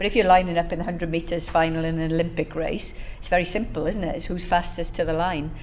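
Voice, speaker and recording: A woman with a Welsh accent talks very fast at a fairly low pitch, her intonation fairly even. Audible room echo and noticeable background noise fill the recording. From Wales, Bridgend. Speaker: professor. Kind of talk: talk to an audience. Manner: conversational, with many fillers.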